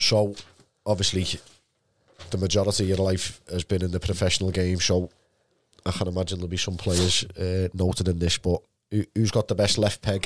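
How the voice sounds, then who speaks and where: A man with a Liverpool accent talks at a fairly quick pace in a very deep, low voice, his intonation monotone and flat. Long pauses come often, and the sound is dry and close with no echo. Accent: Scouse. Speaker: podcast host. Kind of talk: casual interview.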